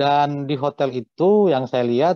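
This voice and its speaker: A man with lively intonation, a dry sound with no echo and a quiet background. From North Sumatra, Simalungun (Pematang Siantar); North Sumatra. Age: 40s. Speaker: hotel manager; guest. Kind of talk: interview. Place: home room. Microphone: video call.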